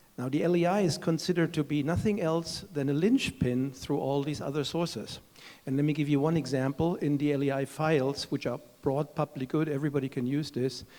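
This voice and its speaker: A man with a German accent speaks in a fairly high voice with a dark, mellow tone. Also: ordinary pitch variation, fairly quick pace. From Germany. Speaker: chief executive of standards foundation. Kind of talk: panel discussion.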